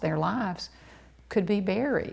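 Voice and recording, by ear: Slowly, a woman speaks with vocal fry and a slightly mellow tone.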